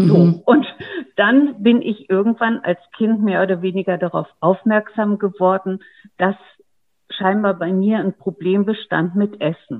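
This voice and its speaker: Speaking at a fairly slow pace, a woman has a plain, everyday voice, medium pitch and ordinary pitch variation. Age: 50s. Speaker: online program participant. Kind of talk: interview.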